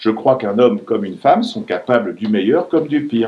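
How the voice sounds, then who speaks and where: Talking very fast, a man keeps his intonation lively. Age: 60s. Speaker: writer. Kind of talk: author talk with students.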